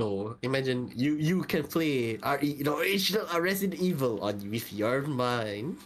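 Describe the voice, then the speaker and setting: There is noticeable background noise behind a speaker with a Malaysian accent. The pace is moderate, with hardly any pauses. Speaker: podcast co-host. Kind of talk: casual chat.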